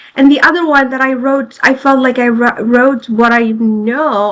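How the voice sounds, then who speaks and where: This woman's voice sits high and her intonation stays fairly even. She talks at a fairly slow pace. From French-speaking country. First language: not English (French schooling). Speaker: foreign-trained lawyer, bar exam taker. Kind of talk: casual group discussion. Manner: halting, many restarts.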